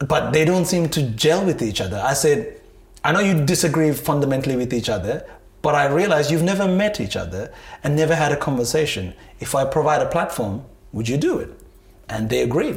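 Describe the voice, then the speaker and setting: The man's voice is fairly high in pitch with vocal fry. His intonation is lively. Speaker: entrepreneur and events producer. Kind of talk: interview. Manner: halting, many repetitions and fillers.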